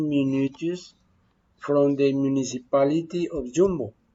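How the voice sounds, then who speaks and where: A man's fairly high voice, fairly even in intonation, at a fairly slow pace. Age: 40s. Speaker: student. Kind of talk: prepared presentation in a second language. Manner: halting, many hesitations.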